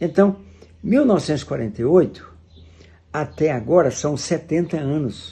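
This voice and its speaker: Speaking at a moderate pace, a man has a fairly high pitch, a dark, mellow tone and lively intonation. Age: 80s+. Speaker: preacher. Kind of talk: sermon.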